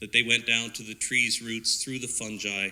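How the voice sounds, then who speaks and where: The voice is bright and sharp with a Canadian accent and ordinary pitch variation, captured in a very clean recording with a silent background. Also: man. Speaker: forest ecologist. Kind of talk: public presentation.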